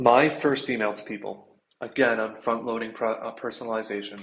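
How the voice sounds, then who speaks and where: The man talks at a medium pitch. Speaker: sales trainer. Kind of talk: tutorial. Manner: fast.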